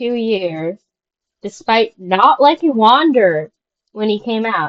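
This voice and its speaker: Here a woman speaks at a very slow pace with lively intonation. Her pitch is fairly high. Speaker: gaming video creator. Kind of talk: casual monologue. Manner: halting, many fillers; mumbling at times.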